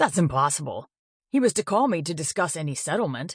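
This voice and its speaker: A put-on character voice growls at a middle pitch. It races along at a very fast pace over a quiet background. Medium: read story. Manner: smug, wheedling.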